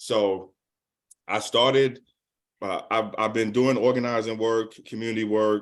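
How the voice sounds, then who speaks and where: Speaking in a New York accent, the voice moves at a fairly slow pace in a flat monotone, broken by long, frequent pauses. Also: man, medium pitch for a man. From New York City (Manhattan and Brooklyn). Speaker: community organizer. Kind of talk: presentation talk.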